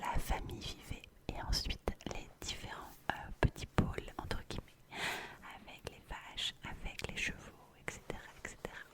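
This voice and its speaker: Whispering at a fairly slow pace with long, frequent pauses, a woman swings widely in loudness over noticeable background noise. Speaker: ASMR creator. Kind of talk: ASMR bedtime talk. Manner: whispered; repetitive, soft, slow.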